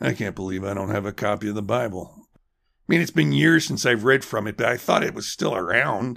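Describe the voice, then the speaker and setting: Putting on a character voice, a man sounds raspy and fairly low in pitch, moving at a fairly quick pace with lively intonation. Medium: audio drama. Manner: gruff, defensive.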